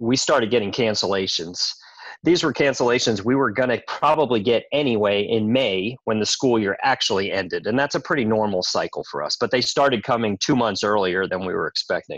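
An unremarkable speaking voice, a man with an American accent talks at a fairly quick pace in a medium pitch with ordinary pitch variation. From New York. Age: 40s. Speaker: gym owner. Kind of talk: casual interview.

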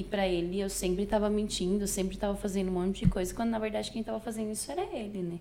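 A woman's fairly even intonation with hardly any pauses, amid noticeable background noise and audible room echo. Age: 20s. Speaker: podcast guest. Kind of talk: casual interview.

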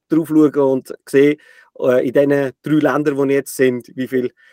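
The speaker has a plain, everyday voice at a moderate pace. The sound is dry and close, with no echo. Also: man. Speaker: podcast host. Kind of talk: interview.

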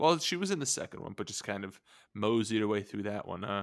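At a fairly quick pace, a man with an ordinary speaking voice talks at a fairly low pitch with ordinary pitch variation, in a very clean recording with a silent background. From Armenian-American heritage. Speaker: podcast host. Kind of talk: casual chat.

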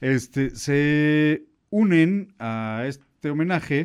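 A man speaks with a Mexican accent and lively intonation. Behind him the background is quiet. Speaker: radio host. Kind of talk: casual chat.

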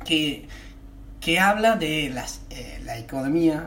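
A man talks amid audible room echo and noticeable background noise. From United States. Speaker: comedian and podcast co-host. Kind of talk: casual chat. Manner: halting.

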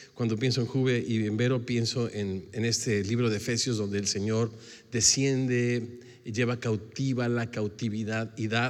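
A man talks at a fairly slow pace in a monotone, flat way. Audible room echo surrounds his voice. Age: 60s. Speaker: pastor. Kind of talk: sermon.

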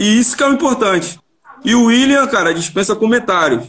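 A high-pitched man's voice at a moderate pace, with lively intonation. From Rio de Janeiro, Vila da Penha. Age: 30s. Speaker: amateur football player. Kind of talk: casual chat.

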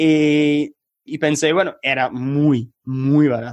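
A man is speaking with an English accent. His pitch sits fairly high. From England, Manchester. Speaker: math tutor. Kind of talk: interview. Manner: halting.

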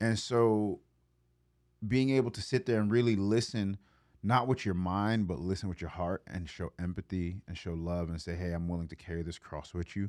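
Recorded very cleanly against a silent background, a man with an American accent has a plain, everyday voice, a fairly low pitch, a moderate pace and ordinary pitch variation. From US Northeast, Brooklyn, New York. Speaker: church podcast host. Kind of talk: casual chat.

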